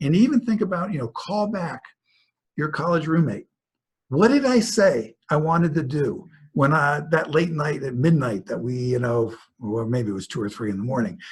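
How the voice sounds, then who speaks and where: At a moderate pace, a somewhat breathy man speaks at a fairly high pitch with very wide pitch swings. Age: 60s. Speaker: author and speaker on work in later life. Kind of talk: webinar presentation. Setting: online webinar. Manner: conversational.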